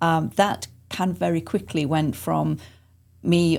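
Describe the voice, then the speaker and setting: Vocal fry in an English accent, on a very clean recording with a silent background. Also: woman. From England. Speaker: arts center executive director. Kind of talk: podcast interview. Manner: hesitant, many fillers.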